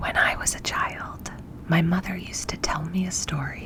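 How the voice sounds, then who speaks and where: Someone whispers over noticeable background noise. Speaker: ASMR storyteller. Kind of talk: read story. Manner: whispered.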